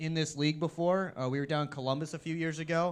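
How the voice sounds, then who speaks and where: Against a quiet background, a man talks at a fairly quick pace in an animated tone, his pitch fairly high. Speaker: coach's show host and event emcee. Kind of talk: casual chat. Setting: live show at a restaurant. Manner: loud.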